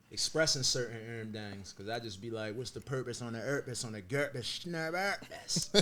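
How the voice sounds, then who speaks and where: The voice moves at a moderate pace with hardly any pauses. Its tone is bright and sharp. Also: man, medium pitch for a man, ordinary pitch variation. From Baltimore, Maryland. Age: 30s. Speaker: slang creator. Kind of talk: casual interview.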